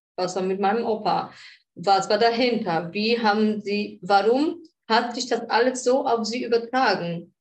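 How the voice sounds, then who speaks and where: A woman's fairly high voice with a Polish accent and ordinary pitch variation. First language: Polish (speaking German). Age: 40s. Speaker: shaman. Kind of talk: interview conversation.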